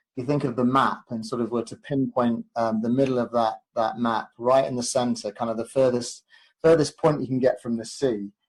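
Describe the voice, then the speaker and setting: Speaking at a fairly quick pace, a man with an English accent uses a medium pitch. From English Midlands, Leicestershire. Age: 40s. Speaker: proposal consultant, former athlete. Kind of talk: podcast interview. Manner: hesitant, many fillers and repeats.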